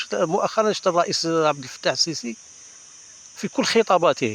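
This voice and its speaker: A man talks in a plain, everyday voice. His pace is moderate and his intonation is lively. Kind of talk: casual talk to camera.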